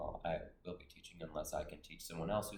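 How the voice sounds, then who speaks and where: This man speaks at a fairly quick pace, and room echo is audible. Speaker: college student vlogger. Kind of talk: vlog monologue. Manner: hesitant, many fillers.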